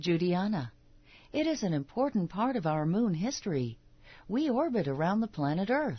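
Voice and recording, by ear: Here someone is reading aloud in a natural voice.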